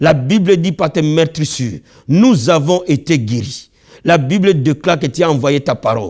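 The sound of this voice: Lively intonation and a slightly mellow tone mark this man's fairly high voice at a moderate pace. The recording is very clean, with a silent background.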